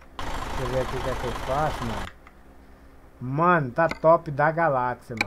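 The speaker leaves long, frequent pauses while noticeable background noise carries on. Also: moderate pace. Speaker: gaming live streamer. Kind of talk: live gameplay stream chat. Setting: voice chat over Discord during live stream. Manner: animated.

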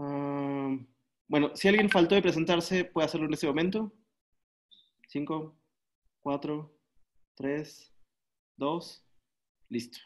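A man speaks very slowly, leaving long, frequent pauses. His fairly high pitch shows ordinary variation over a quiet background. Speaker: workshop moderator. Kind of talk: casual moderation. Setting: video call. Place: home room. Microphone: webcam.

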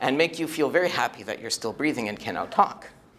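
A man speaking at a fairly quick pace. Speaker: speaker. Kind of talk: storytelling talk to an audience. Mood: humorous, animated. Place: hall. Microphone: lapel.

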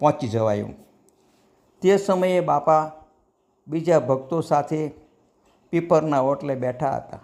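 A man's normal speaking voice with ordinary pitch variation, on a very clean recording with a silent background. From Saurashtra, Gujarat (Bhavnagar area). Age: 60s. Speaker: devotional storyteller. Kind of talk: devotional anecdote narration. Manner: formal.

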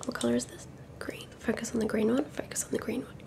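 A woman whispers at a very fast pace. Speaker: ASMR creator. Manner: soft close-mic ASMR voice. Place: home room. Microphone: studio mic.

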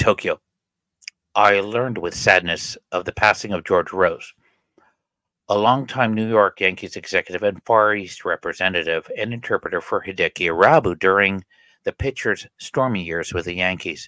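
A man's fairly low, bright, sharp voice at a moderate pace, with ordinary pitch variation and a dry sound with no echo. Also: quiet background. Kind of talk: reading of a written obituary. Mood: somber, respectful. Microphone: studio mic.

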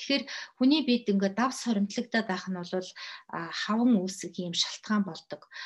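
A somewhat breathy woman at a moderate pace over a quiet background. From Mongolia. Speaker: health educator. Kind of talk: lecture. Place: home room. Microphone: webcam.

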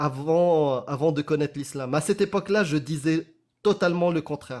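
Over a quiet background, a man with a fairly high pitch and ordinary pitch variation speaks at a fairly slow pace. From Morocco. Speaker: apostate activist and spokesperson; spokesperson. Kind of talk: casual live discussion. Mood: earnest, pleading. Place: home room.

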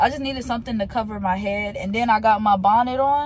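A woman speaks at a fairly quick pace. The sound is dry with no echo, with light background noise. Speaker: vlogger. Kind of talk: casual vlog chat. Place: car. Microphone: phone near.

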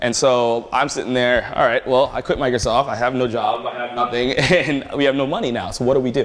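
In an American accent and a normal speaking voice, a man talks at a fairly quick pace with medium pitch and fairly even intonation. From Prince George's County, Maryland; Maryland. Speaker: tech entrepreneur and speaker; speaker. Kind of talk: conference talk with Q&A. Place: hall. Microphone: camera far.

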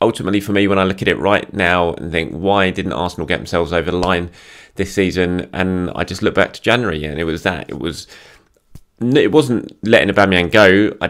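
A man talks at a very fast pace in a very deep, low voice. The background is quiet. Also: ordinary pitch variation. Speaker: football fan vlogger. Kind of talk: commentary. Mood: frustrated, reflective. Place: home room. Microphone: phone near.

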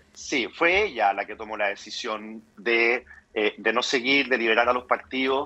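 A man's bright, sharp voice at medium pitch, fairly slow in pace, with ordinary pitch variation. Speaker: politician. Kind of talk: radio interview.

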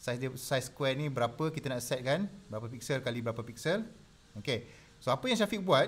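A man with lively intonation. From Malaysia. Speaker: design tutor. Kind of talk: live tutorial. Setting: live stream. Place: home room.

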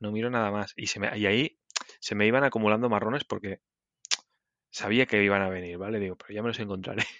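A man with a fairly low pitch speaks at a very fast pace in fairly even intonation, broken by long, frequent pauses. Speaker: podcast co-host, programmer. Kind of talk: casual chat.

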